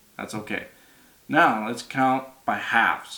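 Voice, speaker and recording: Here a man's bright, sharp tone comes at a medium pitch with fairly even intonation. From Alberta, Canada. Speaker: auctioneer. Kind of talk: casual talk to camera explaining auctioneering. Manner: casual, friendly.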